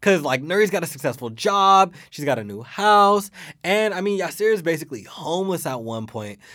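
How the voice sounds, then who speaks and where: A man speaks in a high voice with very wide pitch swings and an animated tone. His pace is fairly quick, and the recording is very clean with a silent background. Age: 20s. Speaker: podcast co-host. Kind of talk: casual chat. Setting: studio.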